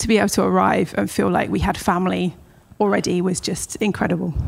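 A woman is speaking. She has a southern English accent. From Southampton, southern England. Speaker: children's ministry leader. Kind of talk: interview.

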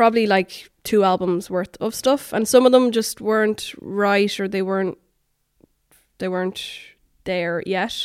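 Recorded very cleanly against a silent background, a woman speaks at a medium pitch with an Irish accent. Her pace is fairly slow and her intonation fairly even. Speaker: singer-songwriter. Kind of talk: interview.

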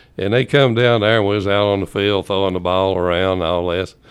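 With an East Tennessee accent, a man talks in a very deep, low pitch with ordinary pitch variation. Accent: Southern US (East Tennessee). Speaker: former high school football player. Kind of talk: casual chat. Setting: studio.

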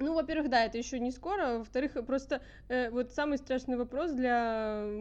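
A woman's high-pitched voice carries lively intonation. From St. Petersburg, Russia. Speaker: pianist, conservatory student. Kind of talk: casual chat.

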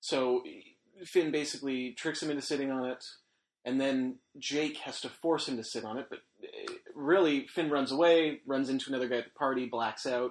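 In an ordinary speaking voice, a man talks at a moderate pace with a fairly high pitch and fairly even intonation. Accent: Canadian. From Alberta, Canada. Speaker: podcast host. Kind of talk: casual chat.

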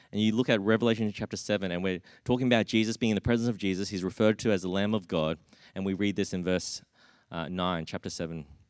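A man with an Australian accent speaks at a very fast pace. The recording is very clean, with a silent background. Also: fairly low pitch for a man, fairly even intonation. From Australia (Brisbane), Australian-born Chinese. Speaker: preacher. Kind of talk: sermon. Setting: church. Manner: halting, frequent repetitions.

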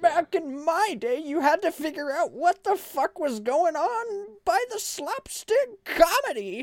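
A put-on character voice sits at an extremely high pitch and moves at a fairly slow pace. There are hardly any pauses.

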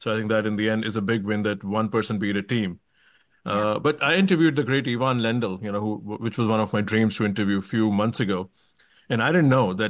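Against a quiet background, a man with an Indian accent talks very fast in a fairly low voice with ordinary pitch variation. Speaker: tennis podcast host. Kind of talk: interview.

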